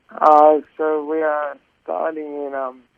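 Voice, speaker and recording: A man's fairly high voice with an Australian accent, very slow and monotone, with flat intonation. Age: 20s. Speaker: charity cyclist. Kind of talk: radio interview. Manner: halting, many fillers.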